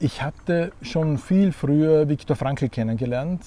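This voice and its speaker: Somewhat breathy, a man speaks fairly slowly at a fairly high pitch with ordinary pitch variation. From Austria, Graz. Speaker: meaning and values coach, former monk and priest. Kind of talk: interview.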